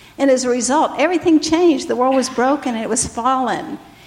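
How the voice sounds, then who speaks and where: There is noticeable background noise behind this woman. Her pitch is high, with ordinary variation. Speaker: pastor's wife. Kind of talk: testimony. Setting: church stage.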